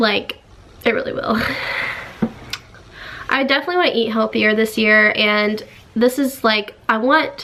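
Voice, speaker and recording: A woman with an American accent speaks at a moderate pace in an upbeat tone over noticeable background noise. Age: young. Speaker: YouTuber. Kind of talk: casual talk to camera.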